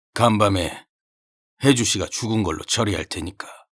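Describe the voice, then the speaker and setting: A man's raspy put-on character voice, fairly low in pitch, at a moderate pace on a very clean recording with a silent background. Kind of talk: old-fashioned military formal speech. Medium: audio drama. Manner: clipped, formal, authoritative.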